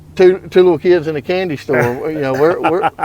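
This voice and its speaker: A high-pitched male voice at a moderate pace, with ordinary pitch variation. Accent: Alabama. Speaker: podcast host. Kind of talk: casual chat.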